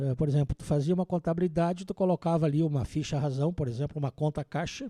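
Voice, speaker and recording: A man talks very fast in a fairly high voice with a dark, mellow tone and ordinary pitch variation. The sound is dry and close with no echo over a quiet background. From southern Brazil, interior of Rio Grande do Sul (Vacaria). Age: 60s. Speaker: accountant and auditor. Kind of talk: podcast interview.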